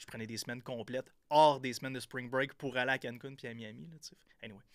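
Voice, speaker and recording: In a Quebec accent, the speaker rushes at a very fast pace, loudness swinging widely while the intonation stays fairly even. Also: man, medium pitch for a man. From Quebec, Gaspésie (Percé). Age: 30s. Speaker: entrepreneur and podcaster. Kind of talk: casual interview. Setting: studio.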